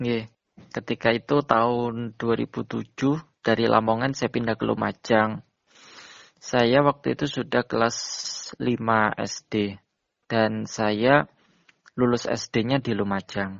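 Speaking very slowly with long, frequent pauses, a man holds a medium pitch and fairly even intonation. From East Java (Jember). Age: 20s. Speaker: blind university student and Quran memorizer. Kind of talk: interview. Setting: phone call.

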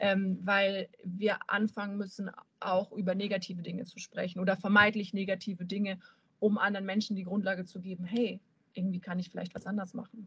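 A woman at a fairly quick pace, with a slight southern German accent and big swings in loudness. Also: medium pitch for a woman. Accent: slight southern German, rolled R when excited. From Bavaria, near Munich. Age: 30s. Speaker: fitness entrepreneur and student. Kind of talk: casual podcast conversation.

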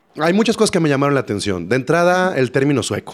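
A man speaks at a very fast pace. The recording is very clean and the background silent. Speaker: podcast co-host. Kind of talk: casual chat.

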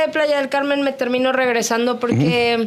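A woman's voice, high in pitch. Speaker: radio announcer. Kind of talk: casual chat.

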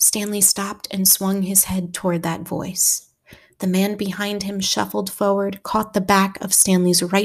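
A quiet background sits behind the speech. The voice reads naturally.

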